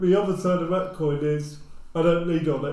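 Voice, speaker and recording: With a southern English accent, a man talks at a fairly quick pace in a high voice with fairly even intonation. Audible room echo and noticeable background noise come through. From England, Luton. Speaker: social housing executive. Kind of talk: casual discussion.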